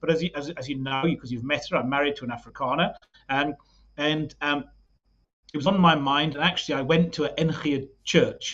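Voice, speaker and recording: At a very fast pace, a man speaks with a fairly high pitch. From UK. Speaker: political party leader. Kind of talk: podcast interview. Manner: halting, many repetitions.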